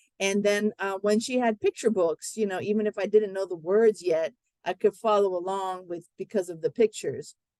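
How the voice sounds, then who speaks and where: Using an ordinary speaking voice, a woman with medium pitch and fairly even intonation talks at a moderate pace with hardly any pauses, in a dry, close sound with no echo. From US, Miami, Florida (Cuban-American family). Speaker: English language teacher, workshop presenter. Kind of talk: webinar presentation.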